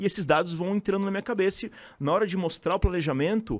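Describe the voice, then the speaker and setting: A man speaks at a very fast pace. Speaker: dentist and teacher. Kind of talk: podcast interview. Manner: casual, animated.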